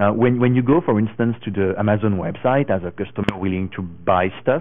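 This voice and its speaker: A man with a French accent speaks at a moderate pace. His pitch is fairly low and his intonation fairly even. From France. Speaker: tech conference speaker. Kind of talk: conference talk.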